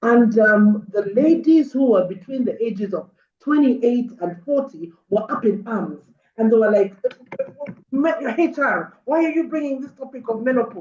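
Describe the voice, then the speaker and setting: A woman with a plain, everyday voice, fairly high pitch, lively intonation and a moderate pace. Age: 60s. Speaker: mental wellness speaker. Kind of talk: webinar talk. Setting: video call.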